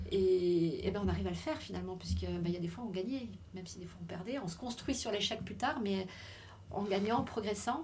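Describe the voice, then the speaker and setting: A woman speaks at a fairly quick pace. Audible room echo and noticeable background noise surround her voice. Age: 50s. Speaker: former elite swimmer. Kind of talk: testimony. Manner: halting.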